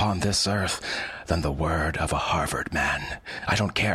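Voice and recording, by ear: The reading is done aloud in a voice that sounds natural.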